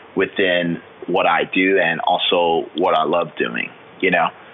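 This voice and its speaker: Noticeable background noise sits behind a speaker with an American accent. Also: man. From Florida, US. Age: 20s. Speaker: fitness trainer and bodybuilder, military veteran. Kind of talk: interview.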